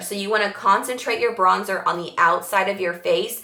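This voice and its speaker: A woman at medium pitch and a fairly quick pace, against noticeable background noise. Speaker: makeup tutorial presenter. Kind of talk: tutorial. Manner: fast; animated.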